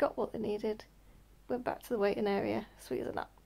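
A woman's dark, mellow tone at a fairly quick pace. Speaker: vlogger. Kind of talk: casual vlog chat telling a story. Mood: relaxed, chatty. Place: home room. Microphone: phone near.

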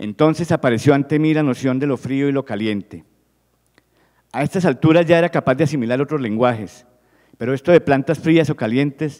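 A man at a fairly quick pace with ordinary pitch variation, against a quiet background. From Colombia. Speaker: physician and researcher; presenter. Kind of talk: reading aloud. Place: hall. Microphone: handheld.

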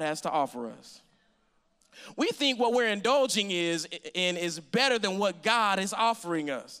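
A man's high-pitched voice, bright and sharp, at a moderate pace against a quiet background. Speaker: preacher. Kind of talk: sermon. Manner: call-and-response, engaged with congregation. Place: church. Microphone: handheld.

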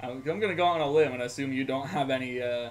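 At a fast pace, a man speaks at a medium pitch with ordinary pitch variation.

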